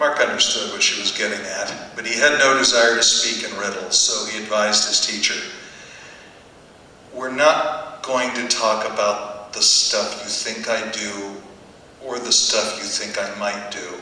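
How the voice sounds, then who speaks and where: A man talks rather unhurriedly while clear background noise carries on behind him. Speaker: author. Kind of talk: live book reading.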